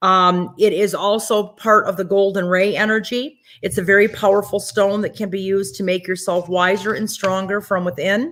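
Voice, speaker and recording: Here is a woman with an ordinary speaking voice at medium pitch and ordinary pitch variation. She keeps a moderate pace with hardly any pauses. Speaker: psychic medium and webinar host. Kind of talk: sales pitch. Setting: online webinar.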